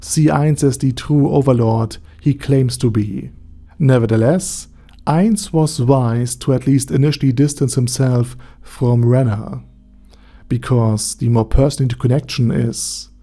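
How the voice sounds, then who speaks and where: The tone is dark and mellow, somewhat breathy, with very even loudness and ordinary pitch variation. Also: man. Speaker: anime lore YouTuber. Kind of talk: video essay narration.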